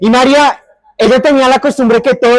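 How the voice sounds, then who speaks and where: Recorded with a dry, close sound and no echo, a man speaks with a Bogotá accent. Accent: Bogotá (rolo). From Bogotá area, Colombia. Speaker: storyteller. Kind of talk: oral storytelling.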